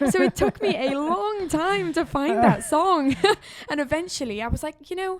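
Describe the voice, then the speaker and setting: A woman's high voice in a South Wales accent, with very wide pitch swings at a moderate pace. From Wales, Caerphilly, South Wales. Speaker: country singer-songwriter. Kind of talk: podcast interview.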